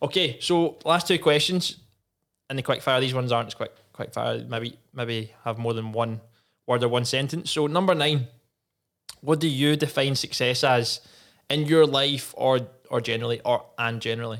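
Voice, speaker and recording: Someone speaks at a moderate pace with a Scottish accent on a very clean recording with a silent background. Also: man, medium pitch for a man, ordinary pitch variation. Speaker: podcast host, former footballer. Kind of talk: casual chat. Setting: studio.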